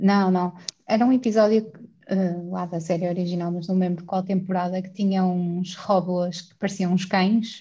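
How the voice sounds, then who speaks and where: With a European Portuguese accent, a woman speaks at a moderate pace in a medium pitch, her somewhat breathy voice dark and mellow in tone, with monotone, flat intonation and big swings in loudness. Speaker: podcast guest. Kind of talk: casual chat.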